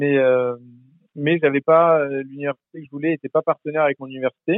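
A man with a fairly high pitch speaks in fairly even intonation. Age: 20s. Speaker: former exchange student. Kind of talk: interview. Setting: phone call. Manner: halting, many repetitions.

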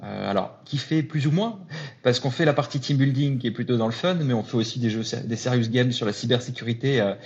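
This man's voice is somewhat breathy, medium in pitch and fairly even in intonation. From northern France (Lille). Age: 40s. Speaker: entrepreneur. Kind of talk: casual interview chat.

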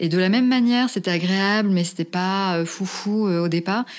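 At a moderate pace, a woman with a plain, everyday voice speaks at medium pitch on a very clean recording with a silent background. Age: 40s. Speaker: podcast interviewee sharing personal story. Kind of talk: testimony.

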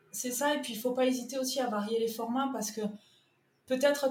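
Audible room echo surrounds a woman speaking in a southern French accent. She talks at a fairly quick pace with fairly even intonation. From southern France, Toulouse. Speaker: freelance content manager and web writer. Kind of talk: podcast interview.

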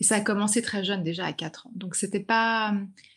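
In a very clean recording with a silent background, a woman speaks at a fairly high pitch, somewhat breathy, with ordinary pitch variation. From grew up in China. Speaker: author and journalist. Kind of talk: interview.

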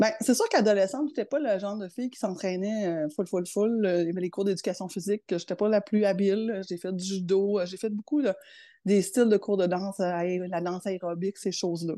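A woman talks at a medium pitch and moderate pace. The background is quiet. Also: ordinary pitch variation. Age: 50s. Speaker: public service manager. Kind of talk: interview.

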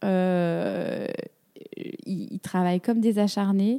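A woman's medium-pitched voice, dark and mellow, with fairly even intonation and a very slow pace, in a dry, close sound without echo on a very clean recording with a silent background. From Brittany, France. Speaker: pilates teacher, former professional dancer. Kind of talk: casual interview. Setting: recorded outdoors facing the sea in Carnac. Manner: hesitant, many fillers.

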